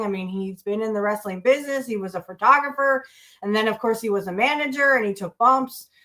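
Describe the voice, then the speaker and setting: In a very clean recording with a silent background, a woman speaks at a fairly high pitch with ordinary pitch variation. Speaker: wrestling podcast host. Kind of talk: casual talk to camera. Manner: casual, hesitant.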